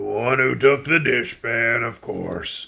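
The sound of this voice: A man uses a put-on character voice, croaky and raspy, at medium pitch. He talks at a fairly slow pace.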